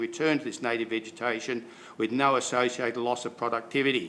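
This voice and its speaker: Speaking at a fairly quick pace with an Australian accent, a man keeps a medium pitch with ordinary variation. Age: 70s. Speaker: farmer. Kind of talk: public submission. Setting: council meeting.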